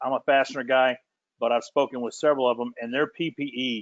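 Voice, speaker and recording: A man talking at a fairly quick pace. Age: middle-aged. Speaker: industry panelist. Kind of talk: presentation. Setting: virtual webinar. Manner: fast.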